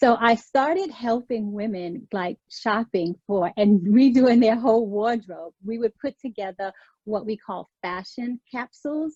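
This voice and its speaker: With a slight New York accent and a dark, mellow tone, a woman speaks at a fairly slow pace with hardly any pauses. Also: fairly high pitch for a woman, ordinary pitch variation, dry, close sound with no echo. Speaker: image consultant and career coach. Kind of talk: interview.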